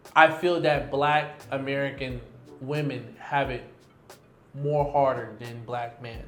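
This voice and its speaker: With big swings in loudness and long, frequent pauses, a man with a fairly high pitch talks at a fairly slow pace and fairly even intonation, amid audible room echo and noticeable background noise. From US, Detroit. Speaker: expat digital nomad and entrepreneur. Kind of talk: casual interview chat.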